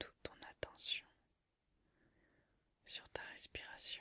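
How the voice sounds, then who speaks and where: A woman whispers at a very slow pace. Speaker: ASMR creator. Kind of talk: relaxation session, hypnosis-inspired role play. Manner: whispered, soft-spoken.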